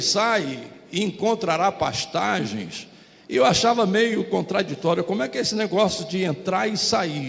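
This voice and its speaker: Noticeable background noise and audible room echo accompany a man who speaks at a moderate pace. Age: 70s. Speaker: pastor. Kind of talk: sermon.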